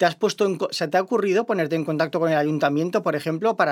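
A woman's very deep, low voice is heard on a very clean recording with a silent background. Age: 40s. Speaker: podcast co-host. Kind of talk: casual interview.

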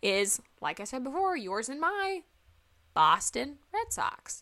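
With a slight Southern US accent, a woman speaks in an animated, playful tone. Her voice is bright and sharp, with very wide pitch swings. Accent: slight Southern US twang. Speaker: sports podcast host. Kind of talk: casual solo podcast chat.

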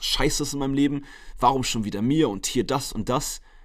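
At a moderate pace, a man talks at medium pitch in a plain, everyday voice. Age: 20s. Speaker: fitness coach and podcaster. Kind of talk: solo podcast monologue. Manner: casual, chatty.

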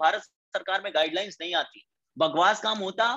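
A man's raised, projected voice with a bright, sharp tone, ordinary pitch variation, and a moderate pace. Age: 20s. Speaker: network marketing leader. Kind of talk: motivational talk. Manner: animated.

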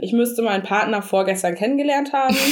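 A woman's voice with lively intonation amid noticeable background noise. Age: 30s. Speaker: podcast co-host. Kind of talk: casual chat.

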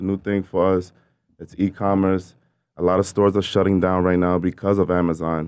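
Talking at a fairly quick pace, a man with a very deep, low pitch keeps a monotone, flat intonation. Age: young. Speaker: entrepreneur. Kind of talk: casual chat.

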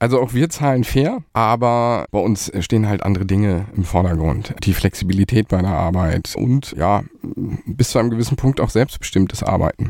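Speaking at a moderate pace with hardly any pauses, a man uses a normal speaking voice at a fairly low pitch with ordinary pitch variation. The sound is dry and close, with no echo. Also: very even loudness. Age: 40s. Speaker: agency managing director. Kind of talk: interview.

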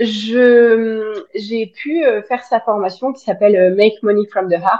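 A woman's fairly high pitch at a very slow pace. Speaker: spiritual coach and social media creator. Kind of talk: casual interview. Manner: outspoken.

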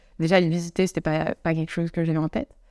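A woman at a fairly low pitch, dry, close sound with no echo, in a very clean recording with a silent background. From France, Savoie (near Chambéry). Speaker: yoga teacher working in sport. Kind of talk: casual interview chat. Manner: hesitant, many fillers.

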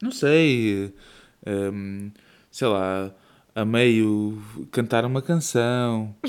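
A man's medium-pitched voice with a European Portuguese accent, very slow with long, frequent pauses and ordinary pitch variation, on a very clean recording with a silent background. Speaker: podcast co-host and father. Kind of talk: casual chat.

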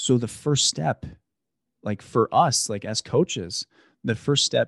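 A man's medium-pitched voice at a very slow pace, with ordinary pitch variation and a dry, close sound with no echo against a quiet background. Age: 30s. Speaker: podcast host. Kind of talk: casual chat.

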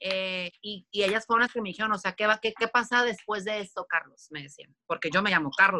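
A woman's bright, sharp, animated voice at medium pitch, fairly quick with hardly any pauses and ordinary pitch variation, in a dry, close sound with no echo. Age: 30s. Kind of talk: casual chat.

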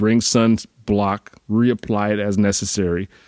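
On a very clean recording with a silent background, a man with an American accent sounds dry and close, with no echo. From US Northeast. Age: 40s. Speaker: fitness coach. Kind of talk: casual solo podcast monologue.

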